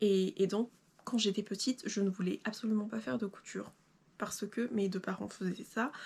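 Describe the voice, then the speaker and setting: The recording is very clean with a silent background, and a woman speaks at a moderate pace and medium pitch. Her voice is somewhat breathy, with fairly even intonation. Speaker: sewing YouTuber. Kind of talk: casual vlog talk to camera. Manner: hesitant, many fillers.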